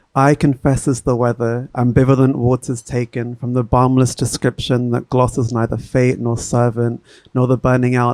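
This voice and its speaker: At a moderate pace, a man with a medium pitch and a dark, mellow tone speaks in a monotone, flat intonation, recorded with a dry, close sound and no echo. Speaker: poet. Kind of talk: poetry reading. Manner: soft-spoken.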